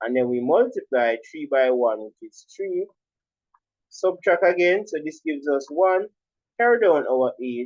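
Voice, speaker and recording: At a moderate pace, a man with a Jamaican accent talks with very wide pitch swings. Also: big swings in loudness. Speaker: primary school teacher. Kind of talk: tutorial.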